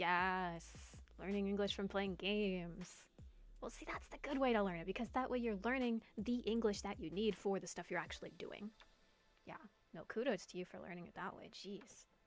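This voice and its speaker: A woman speaks at a moderate pace in a medium pitch, with ordinary pitch variation. Her loudness swings widely over music playing in the background. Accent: American. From United States. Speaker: streamer, former French teacher. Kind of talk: casual livestream chat reading viewer comments. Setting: livestream. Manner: casual, many fillers.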